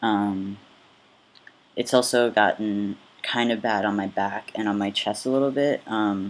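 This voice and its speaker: A man's fairly low voice at a moderate pace, with lively intonation. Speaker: vlogger. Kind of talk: casual vlog update. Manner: hesitant, many fillers.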